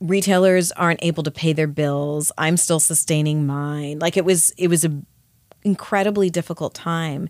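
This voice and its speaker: A woman with a Canadian accent and an unremarkable speaking voice, fairly low in pitch, with fairly even intonation at a moderate pace, on a very clean, dry and close recording with a silent background and no echo. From Canada. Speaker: skincare company founder. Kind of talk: interview. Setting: studio.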